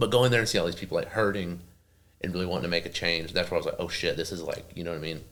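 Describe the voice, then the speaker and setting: Talking at a very fast pace, a man with a very deep, low pitch speaks in a strong Oklahoma accent. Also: ordinary pitch variation. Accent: thick Oklahoma. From Oklahoma, small town. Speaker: professional wrestler. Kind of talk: casual interview chat. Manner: casual, filler-heavy.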